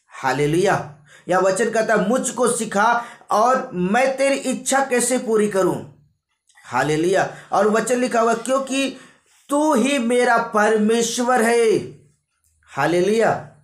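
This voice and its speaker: A man speaks with an extremely high pitch and ordinary pitch variation. He takes long, frequent pauses, and his loudness stays very even. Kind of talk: sermon preaching to a congregation.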